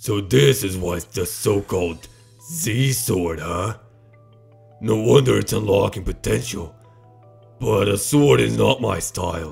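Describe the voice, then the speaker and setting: A raspy, cartoonish character voice moves through very wide pitch swings at a fairly slow pace, with long, frequent pauses and faint music in the background. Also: man, fairly low pitch for a man. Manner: cocky, brash.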